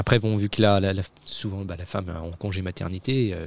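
On a very clean recording with a silent background, a man talks at a moderate pace in a very deep, low pitch that is somewhat breathy. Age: 30s. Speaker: father, guest. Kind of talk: casual chat. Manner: halting.

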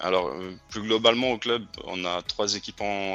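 A man speaks with a bright, sharp tone. His pace is fairly slow and his intonation fairly even. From France, Haute-Loire. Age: 30s. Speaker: youth football coach. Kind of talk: interview. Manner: hesitant.

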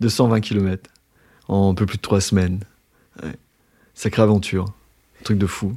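A fairly slow, monotone delivery with flat intonation, long and frequent pauses, and a dark, mellow tone in a very clean recording with a silent background. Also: man, fairly low pitch for a man. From Brittany, Brest. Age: 50s. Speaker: former journalist living with hemophilia. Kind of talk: casual interview while walking. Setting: outdoors on a walking trail, then café.

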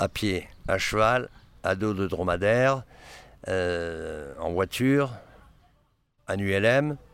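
A man speaks at a fairly low pitch and a very slow pace. Long, frequent pauses run through his delivery. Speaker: photographer. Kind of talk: interview. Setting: outdoors near city.

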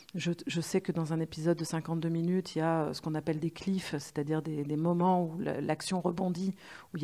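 A woman with a fairly low pitch and a dark, mellow tone speaks at a moderate pace with fairly even intonation. The recording is very clean, with a silent background. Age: 40s. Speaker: screenwriter. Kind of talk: interview.

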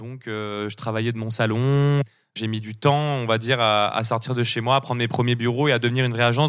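This is a plain, everyday voice, moving at a moderate pace with fairly even intonation. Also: man. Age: 30s. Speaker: agency founder, entrepreneur. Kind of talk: interview.

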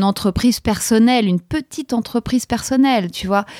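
The sound is dry and close, with no echo. A woman with fairly high pitch and ordinary variation talks at a moderate pace. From Paris, France. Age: 40s. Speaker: podcaster. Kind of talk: interview. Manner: hesitant, many fillers.

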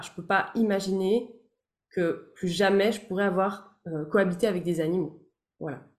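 At a moderate pace, a woman with a medium pitch talks in a normal speaking voice. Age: 30s. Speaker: therapist and voice-over artist. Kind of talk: casual chat.

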